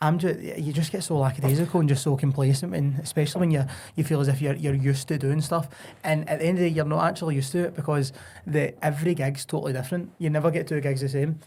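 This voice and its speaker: A man with a Glaswegian accent talks at a very fast pace in a dark, mellow tone that is somewhat breathy, his intonation fairly even. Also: fairly high pitch for a man. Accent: Glaswegian Scottish. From Scotland, Glasgow East End. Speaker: singer and entertainer. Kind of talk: casual chat.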